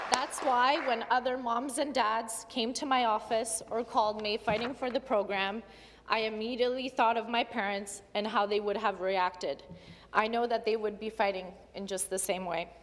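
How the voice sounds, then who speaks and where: This woman has a normal speaking voice, fairly high in pitch, with fairly even intonation at a moderate pace. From Ottawa, Canada (Polish immigrant from age four). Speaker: provincial legislator. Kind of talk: legislative speech. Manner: formal.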